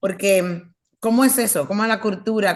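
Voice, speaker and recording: With fairly even intonation and medium pitch, a woman talks over a quiet background. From United States, Dominican heritage. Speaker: interviewer. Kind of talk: interview. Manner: halting.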